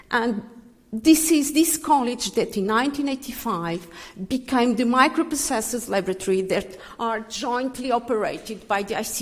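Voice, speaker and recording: A woman with a French accent speaks at a moderate pace, her fairly high voice carrying lively intonation. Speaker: physicist giving a tribute. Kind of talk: tribute speech. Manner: halting.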